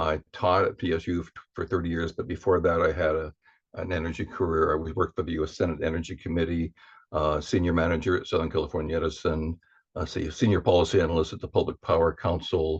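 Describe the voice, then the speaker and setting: A man speaks very fast in a very deep, low pitch, somewhat breathy and with monotone, flat intonation. The background is quiet. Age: 70s. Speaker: semi-retired energy policy professor. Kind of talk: meeting introduction.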